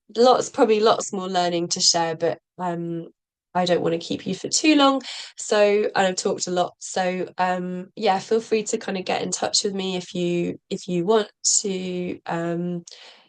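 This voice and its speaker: Fairly slowly, a woman talks in a British accent. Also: medium pitch for a woman, ordinary pitch variation. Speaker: social co-op practitioner. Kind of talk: presentation. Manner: halting, many fillers.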